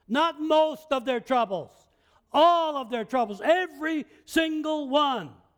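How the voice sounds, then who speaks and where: The pace is fairly slow, with ordinary pitch variation. The recording is very clean, with a silent background. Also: man, extremely high pitch for a man. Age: 70s. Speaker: pastor. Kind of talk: sermon. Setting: church.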